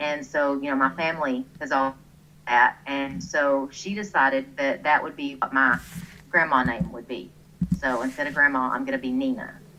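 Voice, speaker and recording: In a Texan accent, a woman speaks with a very deep, low pitch, a bright, sharp tone and ordinary pitch variation. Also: moderate pace. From Texas, small town. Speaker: online gamer, clan leader. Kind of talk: interview. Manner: chatty.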